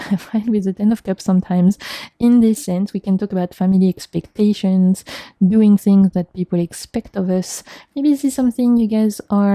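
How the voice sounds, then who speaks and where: On a very clean recording with a silent background and a dry, close sound with no echo, a woman with a medium pitch and a dark, mellow tone speaks at a fairly quick pace with fairly even intonation. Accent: French. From France. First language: French. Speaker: tarot reader. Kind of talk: tarot reading to camera. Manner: halting.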